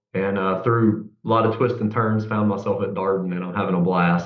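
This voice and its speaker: In a Southern US accent, the speaker talks with monotone, flat intonation and hardly any pauses amid audible room echo. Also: man. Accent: noticeable Southern US. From US South, Central Arkansas. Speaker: executive MBA student. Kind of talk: webinar panel discussion.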